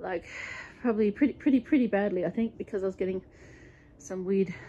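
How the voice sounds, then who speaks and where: A woman speaks with an Australian accent and a dark, mellow tone. Her pitch varies in an ordinary way. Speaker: home gardener vlogger. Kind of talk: casual vlog. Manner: fast.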